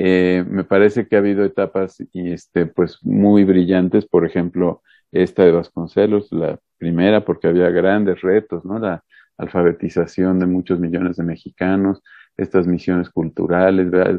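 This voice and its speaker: Very deep and low in pitch, a man speaks at a moderate pace with monotone, flat intonation. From Mexico, Puebla. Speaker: education researcher and university dean. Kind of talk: interview.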